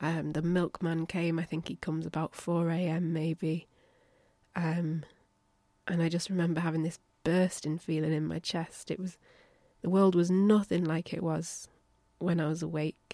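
A woman speaks at a moderate pace with long, frequent pauses. Her fairly low voice is dark and mellow, with monotone, flat intonation. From northern England, Lancaster. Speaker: podcast host. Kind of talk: scripted narration.

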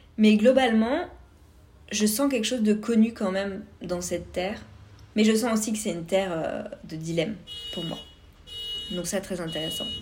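The speaker moves at a moderate pace with ordinary pitch variation and long, frequent pauses. Noticeable background noise and audible room echo are present. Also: woman, medium pitch for a woman. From France, Vosges (east). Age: 30s. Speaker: podcast host. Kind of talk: personal monologue.

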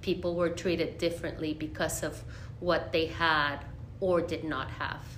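With a Spanish accent, a woman talks at a moderate pace in a fairly low pitch and a monotone, flat intonation, with audible room echo. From Monterrey, Mexico. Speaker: Spanish teacher. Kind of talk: interview.

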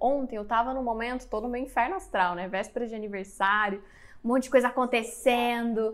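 On a very clean recording with a silent background, a woman speaks at a high pitch and a moderate pace with ordinary pitch variation. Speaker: podcast host and spiritual mentor. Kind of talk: interview.

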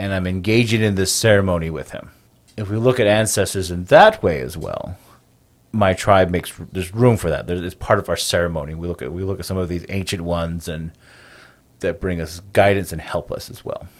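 A man's very deep, low voice at a fairly quick pace, with big swings in loudness. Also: ordinary pitch variation. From Navajo Nation, US Southwest. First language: Navajo. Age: 30s. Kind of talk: interview conversation, storytelling.

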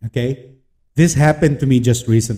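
A man speaks in a medium pitch with ordinary pitch variation. His tone is dark and mellow, and somewhat breathy. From Philippines. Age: 30s. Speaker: podcast host and freelancer. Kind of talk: motivational podcast monologue. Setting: home office.

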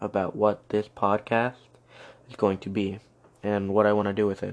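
There is a man with a fairly low pitch. His tone is slightly mellow.

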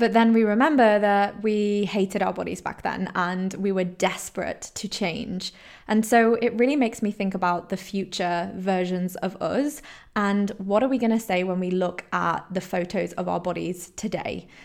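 A woman with a British accent at medium pitch and moderate pace, on a very clean recording with a silent background. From Poland and England, mixed upbringing. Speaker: holistic health coach, podcast host. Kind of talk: solo podcast monologue. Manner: animated.

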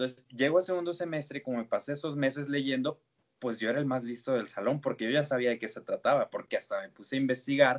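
Fairly even in intonation, a man's voice races along at a very fast pace. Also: fairly high pitch for a man. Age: 20s. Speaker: psychologist and lecturer. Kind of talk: interview.

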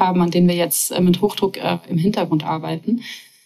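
A woman's voice with ordinary pitch variation comes through noticeable background noise. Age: 30s. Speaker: startup founder and CEO. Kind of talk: interview.

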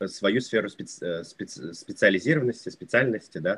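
A man with a fairly low pitch talks at a moderate pace with lively intonation. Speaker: English teacher, YouTuber. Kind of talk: interview.

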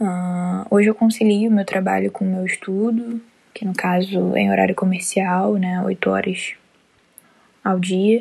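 A woman at a medium pitch talks at a fairly slow pace in a monotone, flat intonation. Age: 20s. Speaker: university student. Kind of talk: self-introduction presentation.

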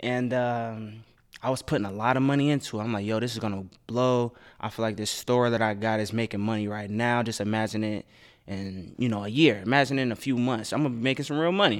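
Delivered at a very fast pace in an American accent, the speech has fairly even intonation in a very clean recording with a silent background. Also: man, medium pitch for a man. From Dayton, Ohio. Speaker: radio DJ. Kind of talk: casual chat.

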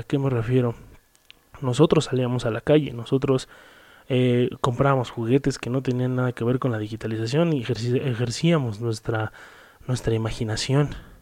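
Dark and mellow in tone, this man's voice sits at a medium pitch. He keeps a moderate pace and fairly even intonation. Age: 20s. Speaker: podcast host. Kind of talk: solo monologue. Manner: halting with fillers.

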